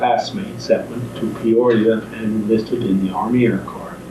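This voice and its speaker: A man with an American accent talks at a fairly slow pace in a monotone, flat intonation. Noticeable background noise sits behind him. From Midwestern US. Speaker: war veteran. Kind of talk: interview answer.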